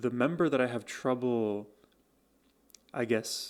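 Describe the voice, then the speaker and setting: In a very clean recording with a silent background, a man speaks fairly slowly at a medium pitch with ordinary pitch variation. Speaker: music reaction youtuber. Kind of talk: music reaction commentary. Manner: casual with frequent fillers.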